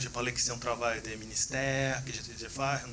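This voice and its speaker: Amid noticeable background noise and audible room echo, a man of medium pitch speaks in a flat monotone. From Brazil. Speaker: PhD researcher. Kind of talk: conference Q&A. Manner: halting.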